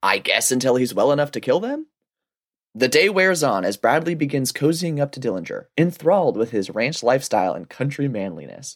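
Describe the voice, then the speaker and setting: This man's voice sits fairly high and carries vocal fry. His pitch swings very widely. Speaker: romance book podcast co-host. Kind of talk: casual comedic chat with plot recaps. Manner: hesitant, filler-heavy.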